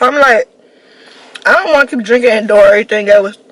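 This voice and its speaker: With an American accent, a woman speaks at a fairly high pitch with ordinary pitch variation over noticeable background noise. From Washington, DC. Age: 20s. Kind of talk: casual storytime talk to camera.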